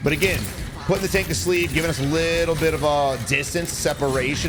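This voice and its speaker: A man talks very fast with an American accent. Audible room echo and noticeable background noise come through. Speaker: gaming video creator. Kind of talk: gameplay commentary tutorial. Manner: casual, with fillers.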